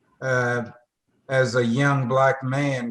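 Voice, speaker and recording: In a Tennessee accent, the speaker talks at a very slow pace with monotone, flat intonation. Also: man. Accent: Southern US (Tennessee). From US South, northwest Tennessee. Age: 70s. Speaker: retired engineer, foundation board member. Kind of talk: interview.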